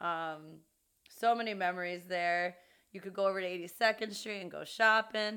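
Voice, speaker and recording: In an unremarkable speaking voice, a woman of medium pitch talks at a moderate pace with fairly even intonation and big swings in loudness, on a very clean recording with a silent background. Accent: American. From New York City, Queens (Jackson Heights). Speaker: podcast co-host. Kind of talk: casual chat.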